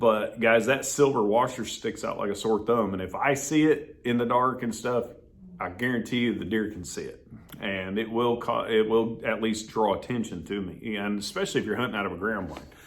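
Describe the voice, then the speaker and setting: Audible room echo surrounds this recording. A man at a medium pitch speaks with ordinary pitch variation. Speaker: outdoors YouTuber, hunter. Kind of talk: product review vlog. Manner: fast.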